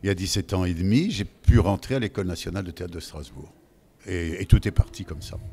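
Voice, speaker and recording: Somewhat breathy and very deep, low in pitch, a man talks at a fairly quick pace with ordinary pitch variation and big swings in loudness. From Lorraine, France. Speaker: voice actor. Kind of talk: interview answer. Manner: casual, chatty.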